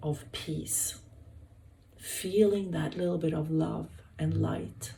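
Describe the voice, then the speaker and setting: Very slow female speech in a Swedish accent, with audible room echo. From Sweden. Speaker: hospital health worker. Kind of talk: wellness talk. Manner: halting.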